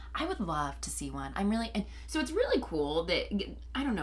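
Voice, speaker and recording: Noticeable background noise and audible room echo around a woman's American accent. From Indianapolis, US Midwest. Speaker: podcast host and yoga instructor. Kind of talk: casual chat.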